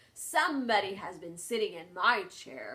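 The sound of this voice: Using a put-on character voice, a woman speaks at a moderate pace and medium pitch.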